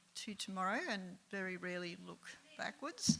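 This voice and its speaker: With an Australian accent, a woman talks at a moderate pace in a bright, sharp, medium-pitched voice with fairly even intonation. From Alice Springs, Northern Territory, Australia. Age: 70s. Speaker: local resident sharing life story. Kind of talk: personal storytelling talk. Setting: live event with audience. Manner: hesitant, many filler ums.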